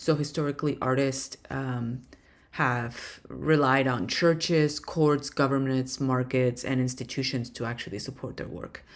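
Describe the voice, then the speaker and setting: Speaking fairly slowly with a non-native accent, a woman with a very deep, low voice keeps a fairly even intonation. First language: not English. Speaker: professor. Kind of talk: lecture. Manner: hesitant, many fillers.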